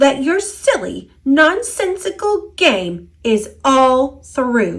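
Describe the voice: A woman's high, put-on character voice with big pitch swings, vocal fry and a slow pace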